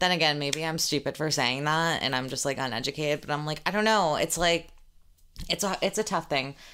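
Speaking at a very fast pace, a woman has a bright, sharp tone in a very clean recording with a silent background. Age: 20s. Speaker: podcast host and social media creator. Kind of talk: casual solo Q&A chat. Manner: casual, filler-heavy.

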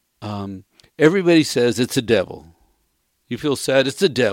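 A man talks at a moderate pace. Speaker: radio co-host. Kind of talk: casual chat.

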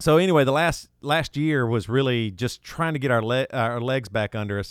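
Medium-pitched male voice with a Southern US accent, fairly quick pace and ordinary pitch variation, on a very clean recording with a silent background. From US South, South Carolina. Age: 40s. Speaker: rock singer and podcast host. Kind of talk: casual chat.

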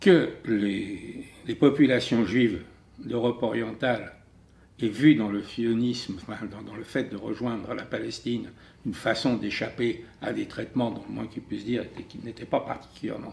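Using a medium pitch with ordinary pitch variation, a man speaks at a fairly slow pace with vocal fry and big swings in loudness. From France. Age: 70s. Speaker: writer and commentator. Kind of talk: testimony.

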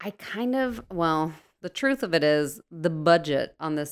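The speaker has an American accent and lively intonation at a fairly slow pace. The recording is very clean, with a silent background. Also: woman. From US Northeast, New Jersey. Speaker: actress and showrunner. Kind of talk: casual chat.

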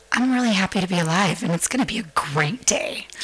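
A woman with a Californian accent over noticeable background noise. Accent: General American (Californian). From US West Coast, San Francisco. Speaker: podcast guest. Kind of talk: casual chat.

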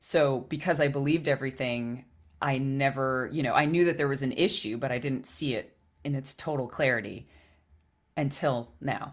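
A woman with a very deep, low voice speaks at a moderate pace. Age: 30s. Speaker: podcast co-host and spiritual coach. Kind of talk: casual chat. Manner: animated.

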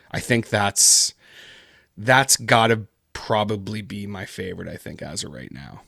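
A man with a Canadian accent, fairly low-pitched, with vocal fry and a bright, sharp tone, ordinary pitch variation and a fairly slow pace, dry and close with no echo in a very clean recording over a silent background. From Canada. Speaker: podcaster and horror story narrator. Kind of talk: casual interview chat.

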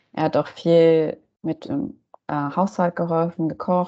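Fairly even intonation carries a dark, mellow tone throughout the speech. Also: woman. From Germany. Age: 30s. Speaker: cultural studies graduate. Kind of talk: interview.

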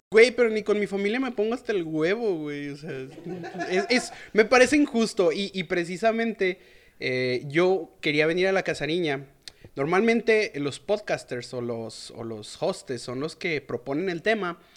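A man with a high-pitched voice speaks at a fairly slow pace. His loudness swings widely, and his pitch rises and falls across a very wide range. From Mexico, León, Guanajuato. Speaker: fellow podcaster. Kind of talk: casual chat.

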